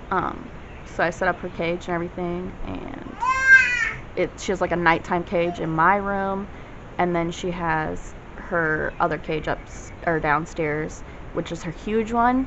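Over crowd noise in the background, a woman speaks at a fairly slow pace with a fairly low pitch and long, frequent pauses. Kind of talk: casual vlog chat. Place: home room. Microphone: phone near.

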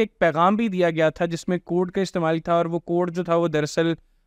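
A man with a high-pitched voice, recorded dry with no echo against a quiet background. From Pakistan. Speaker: podcast host. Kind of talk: interview. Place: studio. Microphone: studio mic.

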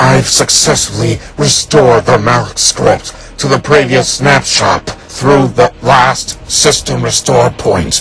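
A raspy, put-on character voice from a man at a fairly slow pace, with clear background noise. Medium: audio drama. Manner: commanding, irritable.

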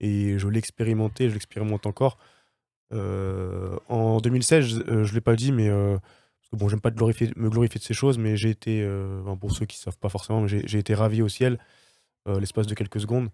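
A man speaks in a fairly low, dark, mellow voice with monotone, flat intonation, the sound dry and close with no echo in a very clean recording with a silent background. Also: moderate pace. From Paris region, France. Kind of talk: testimony. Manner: hesitant, many fillers.

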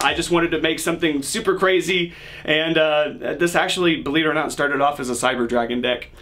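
At a fairly quick pace, a man talks with ordinary pitch variation. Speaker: card game content creator. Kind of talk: casual commentary explaining a deck.

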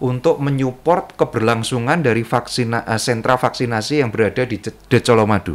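At a moderate pace and with hardly any pauses, a man talks with ordinary pitch variation. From Central Java, Indonesia (Sukoharjo). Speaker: businessman and community organization official. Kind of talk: interview conversation. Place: studio. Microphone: studio mic.

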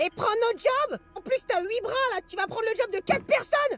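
A cartoonish character voice speaks at a moderate pace. Music plays in the background. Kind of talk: comic overacting. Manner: sneering, indignant.

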